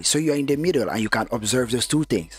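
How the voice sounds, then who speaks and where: A man's fairly quick speech with ordinary pitch variation, music playing in the background. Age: 30s. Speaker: podcast co-host. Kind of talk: casual chat.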